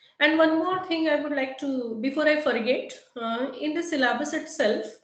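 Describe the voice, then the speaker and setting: A woman at a fairly slow pace, ordinary pitch variation, and audible room echo. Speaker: faculty trainer on AI syllabus. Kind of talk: lecture. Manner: halting, many fillers.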